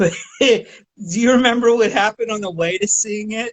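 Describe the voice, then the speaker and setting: This speaker has an American accent. The pace is moderate. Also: man. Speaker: podcast host. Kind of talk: casual chat.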